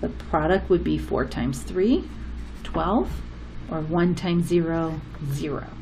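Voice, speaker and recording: Amid audible room echo and background music, a woman speaks fairly slowly, leaving long, frequent pauses. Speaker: math teacher. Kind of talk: tutorial.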